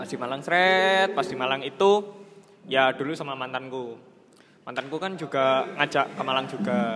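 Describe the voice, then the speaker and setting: There is noticeable background noise as a fairly high-pitched man speaks at a moderate pace with lively intonation. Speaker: podcast host. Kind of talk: casual chat.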